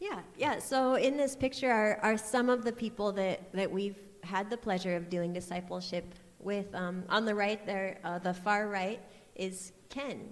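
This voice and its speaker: Amid noticeable background noise and audible room echo, a woman speaks at a fairly slow pace with medium pitch and ordinary pitch variation. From US Midwest, Iowa. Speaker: missionary. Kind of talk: testimony. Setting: church.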